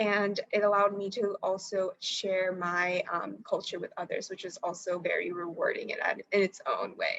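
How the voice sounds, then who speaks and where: This is a woman with an American accent. She speaks at a moderate pace. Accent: American English accent when speaking Marathi. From US, raised partly in India. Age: young. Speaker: engineering student. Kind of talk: interview. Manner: halting, many fillers.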